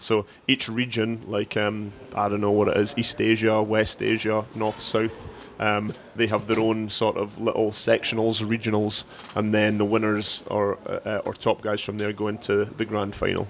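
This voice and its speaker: Over noticeable background noise, a man with a fairly low pitch speaks with a Scottish accent and a monotone, flat intonation. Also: moderate pace. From Scotland. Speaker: CrossFit head coach. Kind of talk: casual chat. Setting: gym with class going on nearby. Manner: hesitant, many fillers and repeats.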